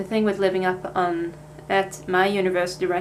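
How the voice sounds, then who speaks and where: A woman speaks at a medium pitch in a Swedish accent. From Sweden. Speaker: vlogger, language student. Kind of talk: casual vlog talk. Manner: casual, hesitant with fillers.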